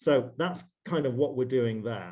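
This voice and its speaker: He has a British accent. The man's pitch is medium. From northwest England. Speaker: investment banker. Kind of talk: interview.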